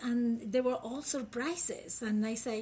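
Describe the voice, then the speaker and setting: This woman speaks in a high pitch with a Uruguayan accent. Her pace is fairly slow. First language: Spanish. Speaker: critical care physician. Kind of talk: interview.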